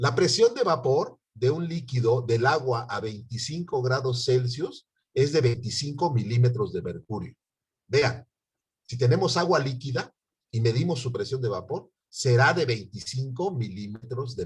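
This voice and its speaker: A man speaks at a fairly slow pace in a somewhat breathy voice. His pitch is medium, with ordinary variation. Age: 60s. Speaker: university chemistry professor. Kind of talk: online lecture.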